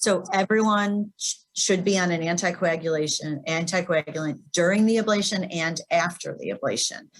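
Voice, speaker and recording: A woman talks in an ordinary speaking voice at medium pitch with ordinary pitch variation, keeping a moderate pace with hardly any pauses. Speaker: cardiac electrophysiologist. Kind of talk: webinar Q&A. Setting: webinar.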